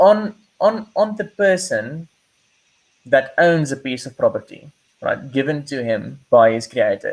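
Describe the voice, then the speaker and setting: A man with a non-native accent and a high pitch speaks at a fairly slow pace with long, frequent pauses. His pitch swings very widely and his loudness shifts a lot. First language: not English. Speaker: podcast host. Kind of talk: casual discussion. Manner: halting, frequent repetitions.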